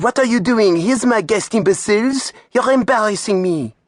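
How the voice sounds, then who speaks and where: A shrill, put-on character voice in a French accent, fairly high in pitch and fairly quick in pace. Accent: French, speaking in French. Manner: shrill, screeching, indignant.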